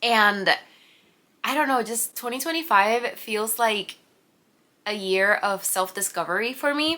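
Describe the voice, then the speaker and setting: A woman with a Spanish accent speaks at a fairly slow pace, with long, frequent pauses, lively intonation, and a fairly high pitch. Her tone is bright and sharp, and the recording is very clean with a silent background. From Puerto Rico. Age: 20s. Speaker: vlogger, pharmacist and artist. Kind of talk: casual vlog introduction. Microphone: new camera audio being tested.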